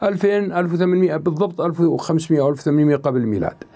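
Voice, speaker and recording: Over a quiet background, a man with a dark, mellow tone and a high pitch speaks at a moderate pace with ordinary pitch variation. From Jordan. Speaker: historian presenting a history program; program host. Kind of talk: educational talk. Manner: conversational, colloquial. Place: studio. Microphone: lapel.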